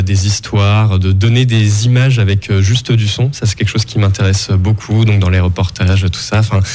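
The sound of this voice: A man speaks with a fairly low pitch, a slightly mellow tone, and fairly even intonation.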